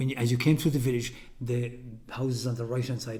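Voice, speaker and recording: In a west of Ireland accent, a man talks at a very fast pace with monotone, flat intonation and a medium pitch. His voice is somewhat breathy with a dark, mellow tone, and audible room echo can be heard. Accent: west of Ireland Irish. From Ireland, County Mayo. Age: 60s. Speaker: folk musician. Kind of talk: interview. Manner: halting.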